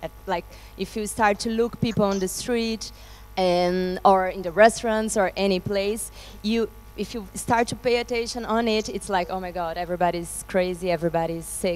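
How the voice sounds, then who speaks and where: Fairly even intonation from a woman, paced moderately. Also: medium pitch for a woman. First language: Spanish. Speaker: performer in theatre company, interpreting for director. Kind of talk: post-show discussion. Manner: halting, many restarts.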